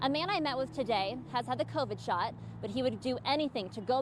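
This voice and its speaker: A woman with lively intonation over noticeable background noise. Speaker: TV news reporter. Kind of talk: TV news report.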